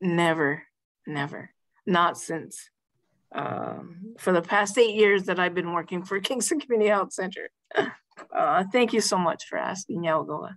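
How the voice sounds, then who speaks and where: With an ordinary speaking voice, a woman talks fairly slowly at medium pitch with ordinary pitch variation. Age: 60s. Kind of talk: panel discussion.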